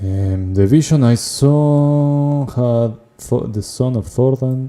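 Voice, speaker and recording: Very slow speech from a man with a non-native accent. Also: medium pitch for a man, ordinary pitch variation. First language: not English. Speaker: video game streamer. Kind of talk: gameplay livestream commentary. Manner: casual, thinking aloud.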